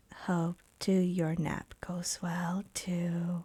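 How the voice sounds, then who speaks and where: Someone uses a put-on character voice in a monotone, flat delivery. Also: woman, fairly low pitch for a woman. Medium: actual play. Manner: cryptic, understated.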